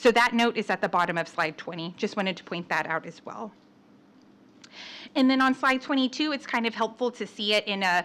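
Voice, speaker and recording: The tone is bright and sharp, with lively intonation. The pace is fairly quick. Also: woman, fairly high pitch for a woman. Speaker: external auditor presenting audit results. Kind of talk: formal presentation to city council. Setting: city council meeting. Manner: fast; hesitant, many fillers.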